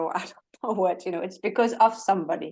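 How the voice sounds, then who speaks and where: A fairly quick pace with a French accent. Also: woman. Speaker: holistic coach. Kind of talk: interview.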